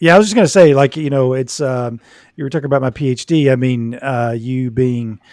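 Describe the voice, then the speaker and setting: A man's unremarkable speaking voice with an American accent, medium pitch and ordinary pitch variation at a fairly quick pace. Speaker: podcast co-host, mental health professional. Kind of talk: casual chat.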